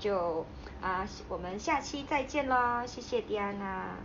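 In a Taiwanese accent, a woman speaks with lively intonation amid audible room echo. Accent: Taiwanese-sounding Mandarin. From Hainan, China. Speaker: podcast host. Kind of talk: casual interview chat.

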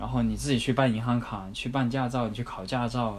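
Audible room echo fills the recording. The speaker is a man. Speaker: former working holiday backpacker. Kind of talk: interview.

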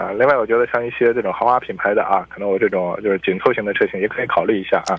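Barely pausing, a man talks at a very fast pace. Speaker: car expert. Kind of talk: radio call-in chat about cars. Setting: radio studio. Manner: hesitant, filler-heavy.

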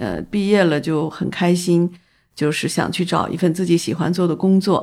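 Her pace is moderate. The woman has a fairly low pitch and fairly even intonation. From northern China, Taiyuan, Shanxi. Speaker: photography festival founder and art director. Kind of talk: casual interview. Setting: in person over tea. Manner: halting, many filler sounds.

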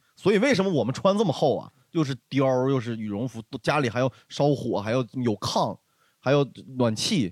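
Lively intonation and an animated tone come through at a moderate pace in a dry, close sound with no echo. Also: man, medium pitch for a man. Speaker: stand-up comedian. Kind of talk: casual chat.

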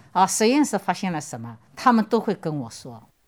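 Medium in pitch, this woman's voice keeps a moderate pace. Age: 60s. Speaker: infectious disease researcher. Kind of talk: interview.

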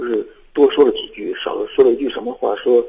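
A man talks at a fairly quick pace. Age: young. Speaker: radio caller. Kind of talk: call-in advice conversation. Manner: halting.

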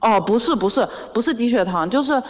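A woman with a Zhejiang accent talks at a fairly quick pace over noticeable background noise. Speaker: caller, student. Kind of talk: casual chat. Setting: phone call.

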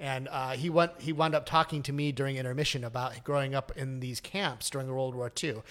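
With an American accent, a man talks in an ordinary speaking voice at a medium pitch, a fairly quick pace and fairly even intonation. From US. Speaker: Broadway producer and composer. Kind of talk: casual interview chat.

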